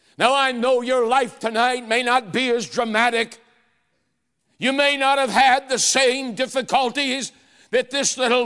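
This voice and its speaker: This man speaks in a raised, projected voice with a bright, sharp tone at an extremely high pitch. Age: 60s. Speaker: revival preacher. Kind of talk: sermon. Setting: church revival service with congregation.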